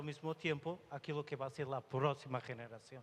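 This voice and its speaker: A man speaks with a Portuguese accent and a fairly high pitch. His intonation is monotone and flat. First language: Portuguese (speaking Spanish). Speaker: IT director at a telecom company. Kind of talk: panel discussion.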